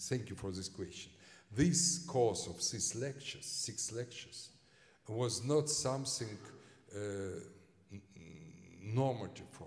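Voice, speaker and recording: Speaking with a Russian accent, a man talks at a fairly slow pace with lively intonation, big swings in loudness, long, frequent pauses and audible room echo. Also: medium pitch for a man. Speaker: historian. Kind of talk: lecture Q&A. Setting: lecture hall with audience. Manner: halting, many fillers.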